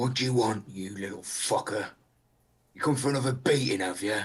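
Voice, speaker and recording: A man's put-on character voice at a medium pitch for a man and a fairly quick pace. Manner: menacing, gruff.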